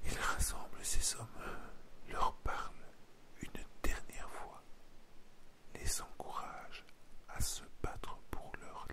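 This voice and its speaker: A man whispering at a very slow pace. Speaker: ASMR history narrator. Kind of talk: ASMR history storytelling for sleep and relaxation. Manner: soft, whispered, slow.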